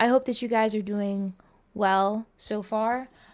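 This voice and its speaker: A woman at a very slow pace, fairly high in pitch, with music in the background. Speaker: video game streamer. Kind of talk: live stream commentary. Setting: live stream.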